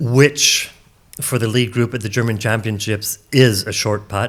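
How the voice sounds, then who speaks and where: A man with an ordinary speaking voice and a Canadian accent talks at a moderate pace in a medium pitch. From Canada. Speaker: disc golf commentator. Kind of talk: live commentary.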